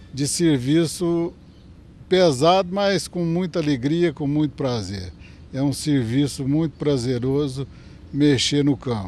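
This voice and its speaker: This man's pitch sits fairly high. He talks at a very slow pace. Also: ordinary pitch variation. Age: 60s. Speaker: cattle breeder. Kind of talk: TV interview. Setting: on a farm.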